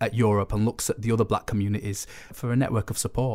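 A man with a Sheffield accent at a fairly quick pace, on a very clean recording with a silent background. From northern England, Sheffield. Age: young. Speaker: writer and photographer. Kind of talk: casual chat.

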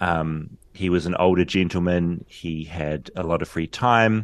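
A man with a New Zealand accent and a very deep, low pitch speaks at a fairly slow pace against a quiet background. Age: 40s. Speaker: journalist. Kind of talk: interview.

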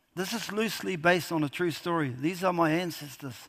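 Pitch moves up and down in an ordinary way. The man's voice sits high. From New Zealand. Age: 60s. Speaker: historian and novelist. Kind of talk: festival author talk. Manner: halting.

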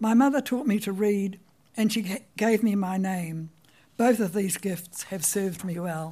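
At a fairly slow pace, the speaker talks in a dark, mellow, somewhat breathy voice with a New Zealand accent. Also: woman, medium pitch for a woman, ordinary pitch variation. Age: 90s. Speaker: writer telling her life story. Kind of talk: memoir talk. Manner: storytelling, wry.

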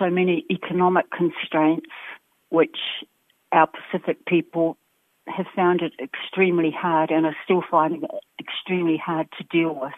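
This woman talks at a moderate pace with a New Zealand accent and a fairly low pitch. Her intonation stays fairly even, broken by long, frequent pauses. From New Zealand, Wellington. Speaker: education academic and community leader. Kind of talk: interview.

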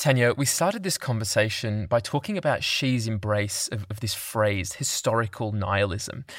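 An unremarkable speaking voice from a man at a medium pitch and moderate pace, in a very clean recording with a silent background. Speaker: news podcast host. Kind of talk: news podcast narration and interview.

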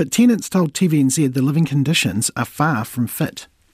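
The voice is somewhat breathy, with a New Zealand accent. The pace is moderate. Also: man. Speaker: radio host. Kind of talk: live morning radio show presenting. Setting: radio studio.

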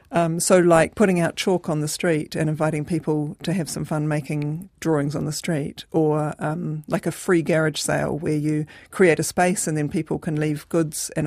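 In a New Zealand accent, a woman speaks at a moderate pace with a very deep, low pitch and monotone, flat intonation on a very clean recording with a silent background. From New Zealand, Christchurch. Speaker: community organiser. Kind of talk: radio interview. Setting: studio. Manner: hesitant, many fillers.

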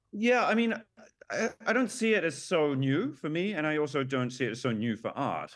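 A man with very wide pitch swings and a New Zealand accent. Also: fairly high pitch for a man, moderate pace. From New Zealand, Auckland. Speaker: artist. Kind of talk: interview. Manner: hesitant, many fillers.

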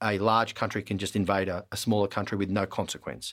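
The recording is very clean with a silent background, and the speaker talks at a very fast pace in an Australian accent. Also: man. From Australia (Melbourne). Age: 40s. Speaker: politician. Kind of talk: interview.

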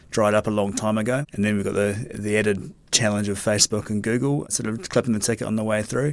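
Speaking with a New Zealand accent, a man talks at a very fast pace with hardly any pauses, a fairly low pitch and fairly even intonation. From New Zealand, Tauranga. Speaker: investigative journalist. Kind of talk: casual chat. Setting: studio.

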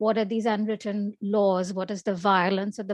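The voice is monotone and flat, with a dry, close sound with no echo and a quiet background. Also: woman. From India. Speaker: novelist and festival programmer. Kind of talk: interview.

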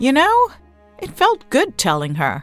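Using a put-on character voice, a woman speaks high and at a fairly slow pace with very wide pitch swings, with faint music in the background.

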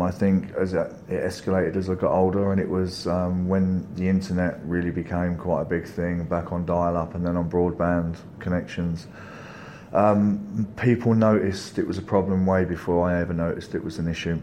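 Against audible room echo, a man with a very deep, low pitch speaks at a fairly quick pace in a monotone, flat intonation. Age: 40s. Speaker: recovering gaming addict. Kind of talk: testimony.

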